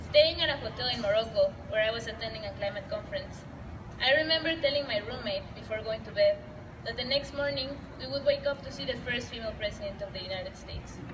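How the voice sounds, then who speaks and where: A woman with a Spanish accent talks at a very fast pace, her loudness swinging widely. Noticeable background noise and audible room echo are present. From Latin America. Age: young. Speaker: student speaker at a rally. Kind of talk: prepared speech. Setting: public gathering.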